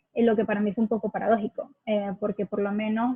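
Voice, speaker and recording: A woman's fairly high voice in a Venezuelan accent, very fast and flat, monotone in intonation. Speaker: accent campaign ambassador. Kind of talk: interview. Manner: hesitant, many fillers.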